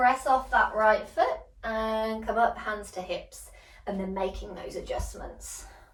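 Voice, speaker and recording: Over noticeable background noise, a woman speaks in a gentle, calm tone at a fairly slow pace, with big swings in loudness. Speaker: yoga teacher. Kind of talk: guided yoga class instruction.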